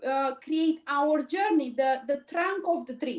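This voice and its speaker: A woman with a Romanian accent, ordinary pitch variation and a moderate pace. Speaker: cleaning business owner. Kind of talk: interview. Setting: live stream.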